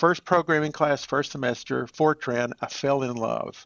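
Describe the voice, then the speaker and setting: This is a man speaking with an East Texas accent. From East Texas (Marshall). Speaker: church IT director. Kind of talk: podcast interview.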